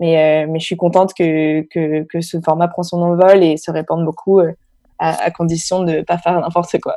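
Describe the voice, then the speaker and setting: This woman talks at a moderate pace in a fairly low, dark and mellow voice, her intonation flat and monotone. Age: 20s. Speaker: podcast co-host and entrepreneur. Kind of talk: interview. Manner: hesitant, many fillers.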